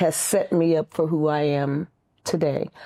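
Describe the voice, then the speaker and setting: Very slow speech from a woman in a dark, mellow tone, recorded very cleanly over a silent background. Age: 70s. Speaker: vegan chef. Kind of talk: interview.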